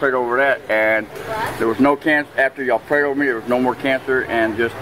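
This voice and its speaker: Noticeable background noise sits behind a man who speaks at a fairly quick pace with fairly even intonation. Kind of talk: interview answer. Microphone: phone near.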